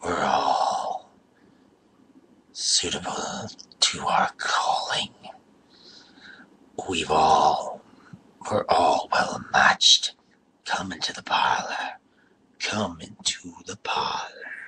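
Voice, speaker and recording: A man whispering in a put-on character voice at a very slow pace, with long, frequent pauses. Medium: read story. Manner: chuckling, rambling.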